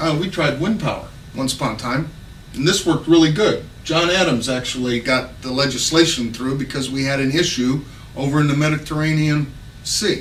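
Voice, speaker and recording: Noticeable background noise and audible room echo surround a man who talks at a moderate pace with a fairly high pitch. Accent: American. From Texas. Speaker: political candidate. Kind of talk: campaign speech. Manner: casual, unscripted with hesitations.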